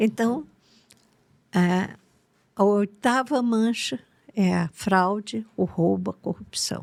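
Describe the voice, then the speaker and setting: A woman at medium pitch, very slow and full of long, frequent pauses, her intonation lively. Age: 80s+. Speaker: therapist. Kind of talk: interview.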